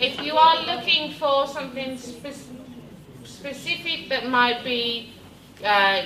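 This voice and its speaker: Speaking with a British accent at a fairly slow pace, a woman shows ordinary pitch variation amid audible room echo and noticeable background noise. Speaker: education technology trainer. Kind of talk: workshop presentation. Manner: loud; energetic.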